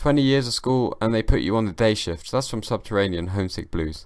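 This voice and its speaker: A man with a British accent and ordinary pitch variation, in a very clean recording with a silent background. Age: young. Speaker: comedian and podcast host. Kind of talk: casual solo podcast monologue. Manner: slurring, halting with repetitions.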